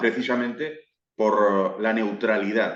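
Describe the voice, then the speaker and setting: Room echo can be heard as a man talks at a moderate pace. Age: 60s. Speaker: football YouTuber. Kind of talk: interview.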